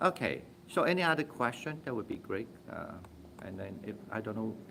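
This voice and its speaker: A man with a non-native accent talks at a fairly quick pace. His medium-pitched voice swings very widely in pitch. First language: not English. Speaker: Buddhist meditation teacher. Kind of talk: Dharma talk with Q&A. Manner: halting, frequent fillers.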